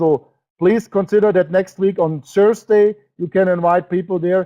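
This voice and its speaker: In a German accent, a high-pitched man talks with fairly even intonation. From Germany. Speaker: network marketing presenter. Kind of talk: webinar sales presentation. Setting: online webinar. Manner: halting.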